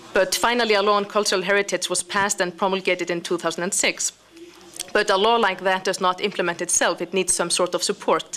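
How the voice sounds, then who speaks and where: A woman speaks very fast at a medium pitch in a monotone, flat intonation. Noticeable background noise is present. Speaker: international organization representative. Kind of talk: conference speech.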